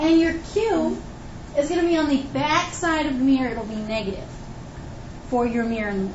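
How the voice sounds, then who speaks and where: A high-pitched woman talks at a fairly quick pace with very wide pitch swings, breaking often with long pauses. Audible room echo is present. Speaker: high school physics teacher. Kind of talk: classroom lecture. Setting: classroom with students.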